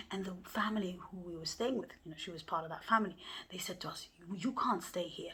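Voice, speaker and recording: Somewhat breathy, a woman speaks at a medium pitch with ordinary pitch variation. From Somalia. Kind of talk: personal storytelling.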